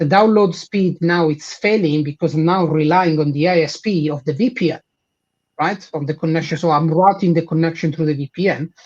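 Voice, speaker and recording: Talking at a fairly quick pace, a man with an Italian accent uses a high pitch and fairly even intonation. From Italy. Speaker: head of support and engineering. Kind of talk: live product demo.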